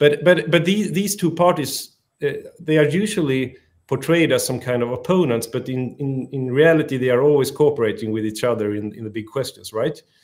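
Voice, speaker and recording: A man with a Swedish accent at a medium pitch and a fairly quick pace, with lively intonation and big swings in loudness. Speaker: politician. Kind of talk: interview. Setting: live stream.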